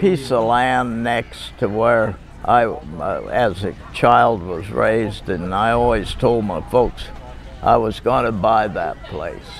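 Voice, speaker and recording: A man with an American accent at a very slow pace, with noticeable background noise and audible room echo. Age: 90s. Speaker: retired rancher and trucking business owner. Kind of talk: oral history interview. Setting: family reunion. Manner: halting, many fillers.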